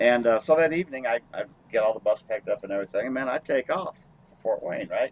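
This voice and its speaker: This man speaks at a very fast pace. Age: 60s. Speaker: truck driver and podcast host. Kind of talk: casual chat.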